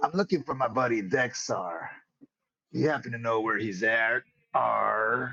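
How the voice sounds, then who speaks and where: Someone in a put-on character voice speaks at a moderate pace, with long, frequent pauses. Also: man, medium pitch for a man. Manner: playful.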